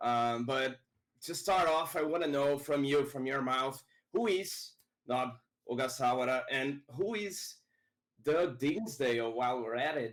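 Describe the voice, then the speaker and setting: Speaking fairly slowly in a Portuguese accent, a man uses a fairly high voice with ordinary pitch variation. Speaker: interviewer. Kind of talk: interview. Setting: live online stream.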